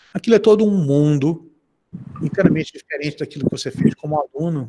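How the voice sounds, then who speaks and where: Talking at a fairly quick pace, a man uses an ordinary speaking voice pitched fairly high. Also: dry, close sound with no echo. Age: 60s. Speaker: professor. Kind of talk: interview. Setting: video call.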